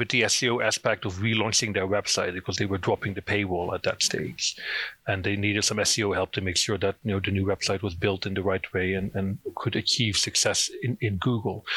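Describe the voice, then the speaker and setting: A man with a Dutch accent speaks in a bright, sharp tone, in a dry, close sound with no echo, on a very clean recording with a silent background. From Netherlands. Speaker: SEO consultant. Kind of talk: interview.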